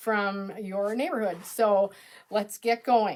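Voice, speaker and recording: A woman with an Upper Midwest accent and an upbeat tone. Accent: Upper Midwest American. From Minnesota. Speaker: quilt pattern designer. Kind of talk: live-streamed tutorial. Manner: chatty, upbeat.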